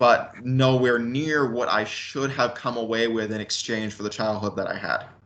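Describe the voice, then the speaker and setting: At a moderate pace, a man with a medium-pitched voice talks with fairly even intonation and hardly any pauses. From western US, moved around. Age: 20s. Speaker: son of a militia leader. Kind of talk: interview. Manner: halting.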